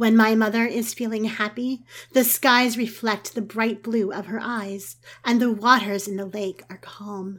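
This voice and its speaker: Pitched fairly high, a woman with an ordinary speaking voice talks at a fairly slow pace. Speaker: podcast storyteller. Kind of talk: mythic first-person storytelling narration, scripted fairy-tale tone. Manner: slow, lyrical, measured.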